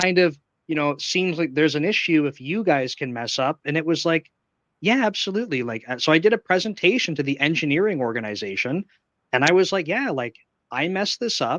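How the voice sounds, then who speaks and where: A plain, everyday voice with a Canadian accent, fairly quick and with lively intonation. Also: man, fairly high pitch for a man. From Canada. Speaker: software engineering manager. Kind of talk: live stream interview. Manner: casual, filler-heavy.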